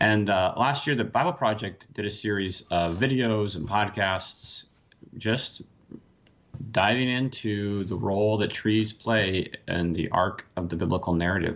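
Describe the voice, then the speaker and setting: In an American accent, a man with a normal speaking voice talks at a fairly slow pace, his fairly low pitch showing ordinary variation. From Washington State. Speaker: professor. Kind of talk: radio interview.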